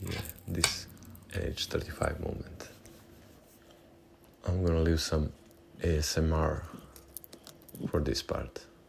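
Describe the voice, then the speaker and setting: Fairly slow speech in a non-native accent with vocal fry, fairly even intonation, and long, frequent pauses. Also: man, very deep, low pitch for a man. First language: not English. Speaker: watch-building YouTuber. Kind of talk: tutorial. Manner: casual, slightly halting.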